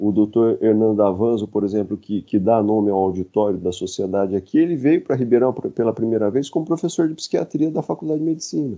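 Very fast male speech with hardly any pauses. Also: medium pitch for a man, lively intonation. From interior of São Paulo state, Brazil (Dracena). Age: 50s. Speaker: psychiatrist and psychoanalyst. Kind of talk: casual interview conversation. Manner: halting, with many repetitions.

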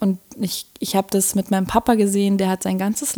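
A woman with a dark, mellow tone and medium pitch talks at a moderate pace with fairly even intonation, the sound dry and close with no echo. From Berlin, Germany. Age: 20s. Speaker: design student and podcaster. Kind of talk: interview conversation. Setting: in person, Berlin.

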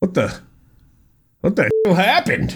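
A man does a put-on character voice. It comes out raspy. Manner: comedic impression, exasperated.

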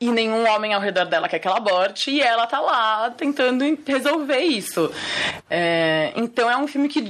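Using lively intonation, a woman with a fairly high pitch talks at a moderate pace in an unremarkable speaking voice. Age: 30s. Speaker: film director. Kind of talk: interview.

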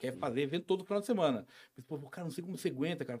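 On a very clean recording with a silent background, a man talks at a very fast pace with very wide pitch swings. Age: 40s. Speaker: local businessman and social project founder. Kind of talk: casual interview chat.

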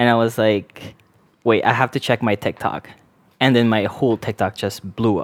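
A man's medium-pitched voice at a moderate pace, dry and close with no echo, on a very clean recording with a silent background. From Canada. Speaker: nurse content creator. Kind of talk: casual chat. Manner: animated, jokey.

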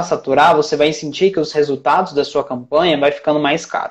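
In an unremarkable speaking voice, a man talks at a moderate pace with fairly high pitch. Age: 20s. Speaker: traffic manager (paid ads specialist). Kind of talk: casual interview chat.

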